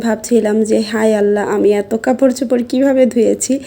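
A woman's fairly high voice in monotone, flat intonation, over noticeable background noise. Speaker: lifestyle vlogger and mother. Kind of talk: vlog narration. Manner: friendly, conversational.

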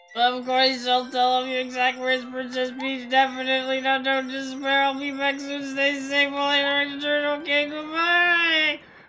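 Someone uses a put-on character voice with a high pitch. The delivery is monotone and flat at a moderate pace. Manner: cute, reassuring.

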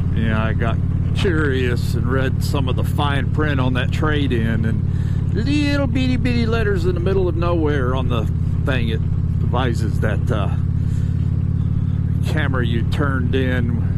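Loud background noise surrounds a man speaking at a fairly slow pace with ordinary pitch variation, the sound dry with no echo. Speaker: motorcycle vlogger. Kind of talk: casual vlog chat. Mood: relaxed, mildly annoyed. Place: motorbike. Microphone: helmet.

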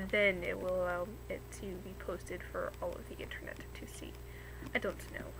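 Moderate-paced speech from a woman over noticeable background noise. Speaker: vlogger. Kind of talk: casual vlog chat. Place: home room. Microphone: webcam.

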